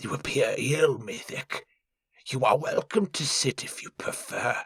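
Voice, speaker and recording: A man puts on a raspy character voice, fairly high in pitch, and speaks at a fairly slow pace. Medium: read story. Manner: smooth, formal, condescending.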